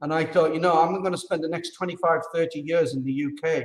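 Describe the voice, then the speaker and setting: Delivery comes at a moderate pace. The accent is British. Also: man. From UK. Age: 50s. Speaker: expat interviewee. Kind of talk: casual interview conversation. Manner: animated.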